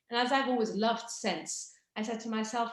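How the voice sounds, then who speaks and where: A woman is talking. She speaks with an English accent. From England, English countryside. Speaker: fragrance brand founder. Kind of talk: product presentation on video call. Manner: animated.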